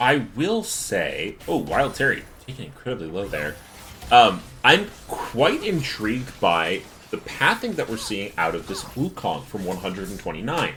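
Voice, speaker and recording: Over noticeable background noise, a man at medium pitch talks at a fairly slow pace, his pitch swinging very widely and his loudness rising and falling sharply. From US Midwest, Michigan. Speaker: esports caster. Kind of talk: live commentary.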